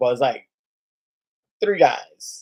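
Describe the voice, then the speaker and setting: In an American accent, a man speaks at a moderate pace with a dark, mellow tone. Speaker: live stream host, sports card collector. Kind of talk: casual chat.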